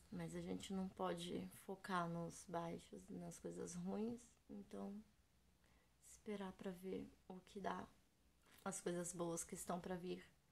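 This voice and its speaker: Her delivery is very slow, coming from a woman. Long pauses break it up often. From São Paulo state, Brazil (São José dos Campos). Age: 30s. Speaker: vlogger and children's party clown. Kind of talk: casual vlog monologue. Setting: home recording in bedroom. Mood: reflective, gentle, a bit emotional. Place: home room. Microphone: webcam.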